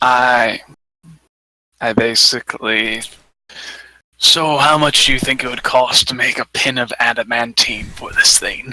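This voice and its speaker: A man puts on a raspy character voice at medium pitch. He goes at a fairly slow pace with long, frequent pauses. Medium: actual play. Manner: confident, bossy.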